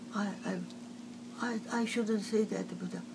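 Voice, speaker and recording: A woman's voice comes through with noticeable background noise. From China. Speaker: artist. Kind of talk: oral history interview answer. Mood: upset, aggrieved. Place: home room. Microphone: phone near.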